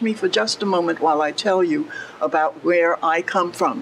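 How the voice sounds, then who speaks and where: A woman speaks in an American accent. Background noise is noticeable. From US East Coast. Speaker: speaker at event. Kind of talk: public speech.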